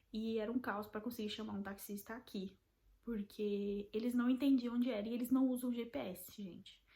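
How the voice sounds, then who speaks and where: A woman talks at a fairly quick pace with a fairly high pitch. Her intonation stays fairly even. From Brazil. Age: 20s. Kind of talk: casual talk to camera.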